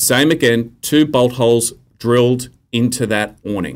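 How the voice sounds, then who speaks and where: This man speaks with an Australian accent. His pitch varies in an ordinary way. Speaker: journalist and author. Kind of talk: casual interview chat.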